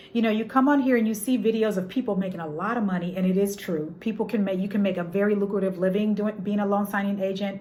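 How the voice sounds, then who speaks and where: Audible room echo surrounds a woman of medium pitch who talks at a very fast pace, with fairly even intonation and hardly any pauses. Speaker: notary and loan signing agent. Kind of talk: tutorial. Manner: halting.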